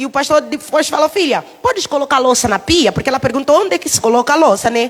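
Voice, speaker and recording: At a fairly quick pace, a woman with an Angolan accent speaks at a high pitch over noticeable background noise. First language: Umbundu (speaking Portuguese). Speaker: preacher. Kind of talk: sermon. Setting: church.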